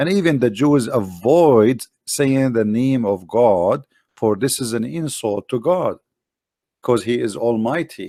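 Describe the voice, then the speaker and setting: With an Arabic accent, a dark, mellow voice speaks at a fairly slow pace with lively intonation in a very clean recording with a silent background. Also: man, medium pitch for a man. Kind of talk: explanatory lecture. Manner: halting, with fillers and repetitions.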